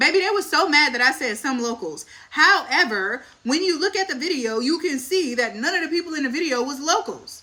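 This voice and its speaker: A woman with an American accent speaks in a raised, projected voice at a fairly quick pace with hardly any pauses, her high pitch, bright, sharp tone and lively intonation standing out. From US South, Dallas, Texas. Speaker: family vlogger. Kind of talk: casual chat. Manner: animated.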